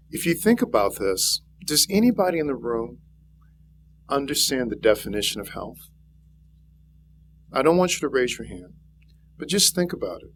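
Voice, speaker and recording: A man at a moderate pace, with long, frequent pauses, vocal fry, big swings in loudness and very wide pitch swings. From Louisiana. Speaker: physician and health speaker. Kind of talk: public speech.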